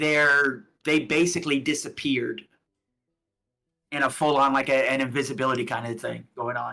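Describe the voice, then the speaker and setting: A man's fairly high, bright, sharp voice at a moderate pace, with fairly even intonation and long, frequent pauses. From US South, Alabama. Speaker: tabletop game master. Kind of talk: tabletop roleplaying game narration on stream.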